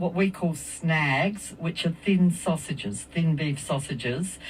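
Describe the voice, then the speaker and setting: Very slowly, a woman speaks in a fairly low, somewhat breathy voice with ordinary pitch variation. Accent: Australian. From South Australia. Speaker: community event organizer. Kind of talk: radio interview. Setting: radio studio.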